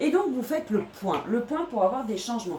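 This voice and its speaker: Noticeable background noise surrounds a woman at a fairly high pitch. She talks at a moderate pace with very wide pitch swings. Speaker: tarot reader. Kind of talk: tarot reading video monologue. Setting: bedroom. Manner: hesitant, many fillers.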